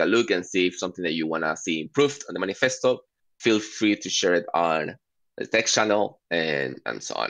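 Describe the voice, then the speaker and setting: A man's very deep, low voice with a non-native accent, lively intonation and a fairly quick pace. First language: not English. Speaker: working group steward, meeting facilitator. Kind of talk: online work meeting. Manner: halting, many fillers.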